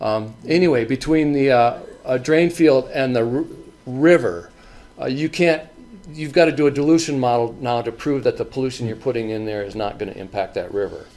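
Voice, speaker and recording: Pitch variation is ordinary. The speaking speed sits at a moderate level. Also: man. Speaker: county health department septic inspector. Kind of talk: presentation at a public forum. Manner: halting, many repetitions and fillers.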